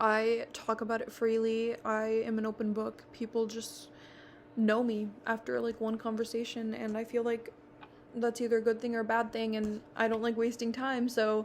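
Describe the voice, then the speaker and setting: In a fairly high, flat monotone, a woman speaks at a moderate pace. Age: 20s. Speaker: college student. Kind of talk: personal video presentation. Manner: formal.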